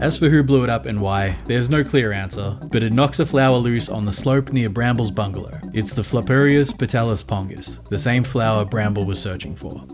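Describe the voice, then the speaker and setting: Music plays in the background behind a man. He speaks at a fairly quick pace. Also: medium pitch for a man, hardly any pauses. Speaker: video game commentator. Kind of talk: video essay narration. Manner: casual, wry.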